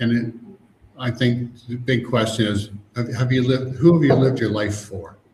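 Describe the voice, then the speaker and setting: With audible room echo, a man speaks in a medium pitch, his voice somewhat breathy with a dark, mellow tone. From Canada. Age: 60s. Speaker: emotional freedom coach. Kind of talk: interview.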